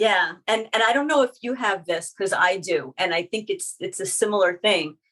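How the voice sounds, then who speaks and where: A woman's ordinary speaking voice with lively intonation, a moderate pace, and hardly any pauses. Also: medium pitch for a woman. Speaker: podcast interviewer. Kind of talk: interview questions.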